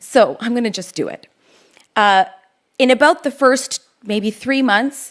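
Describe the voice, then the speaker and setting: A woman speaks with a Canadian accent at a fairly slow pace. Her pitch varies in an ordinary way. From Canada, Toronto. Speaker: lawyer and public speaker. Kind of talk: keynote talk. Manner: conversational.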